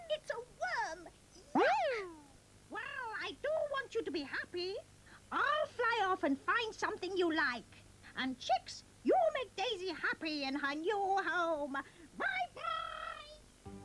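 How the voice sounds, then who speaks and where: A cartoonish character voice at an extremely high pitch moves at a fairly slow pace with long, frequent pauses. Clear background noise and sound effects play behind it. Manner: motherly, fussy.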